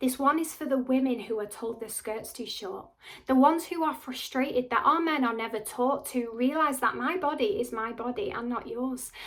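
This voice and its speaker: A high-pitched woman's voice with a northern English accent and hardly any pauses. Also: ordinary pitch variation, moderate pace. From Wigan, North West England. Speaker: actor and spoken word artist. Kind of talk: spoken word poetry performance. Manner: impassioned, defiant.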